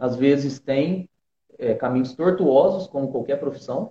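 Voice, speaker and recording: Somewhat breathy and dark, mellow in tone, a man with a fairly high pitch speaks at a fairly slow pace with ordinary pitch variation. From southern Minas Gerais, Brazil. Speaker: flautist. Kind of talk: interview.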